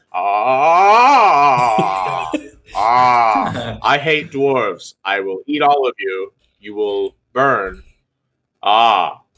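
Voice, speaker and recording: A man bellows loudly at a medium pitch in a put-on character voice. He drags the words out at a very slow pace. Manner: menacing, shouting.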